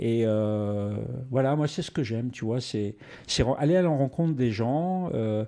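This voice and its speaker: This man has a dark, mellow tone and a medium pitch, with lively intonation. He speaks at a fairly slow pace against a quiet background. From northern France (Arras, Nord-Pas-de-Calais). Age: 60s. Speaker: actor. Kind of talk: interview. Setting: home studio. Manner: halting, many repetitions and fillers.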